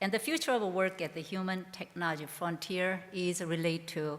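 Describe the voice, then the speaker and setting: Speaking with a non-native accent, this woman's voice sits at a fairly low pitch. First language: not English. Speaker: education researcher, professor. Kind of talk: conference keynote address.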